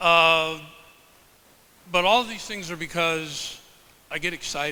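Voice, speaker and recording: Here a man speaks loudly at a fairly slow pace. His pitch is high, with ordinary variation. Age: 70s. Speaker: professor and health researcher. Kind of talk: presentation to a live audience. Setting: stage with audience.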